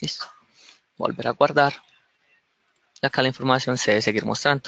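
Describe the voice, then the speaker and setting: Dry and close with no echo, a man's medium-pitched voice has a bright, sharp tone with vocal fry, fairly even intonation and a fairly quick pace. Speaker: software developer giving a tech talk. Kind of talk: tutorial. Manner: fast.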